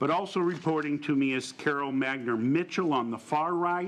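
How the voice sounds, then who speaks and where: This man talks at a moderate pace with a fairly high pitch for a man. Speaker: chief financial officer presenting to a board. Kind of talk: formal presentation. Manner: loud.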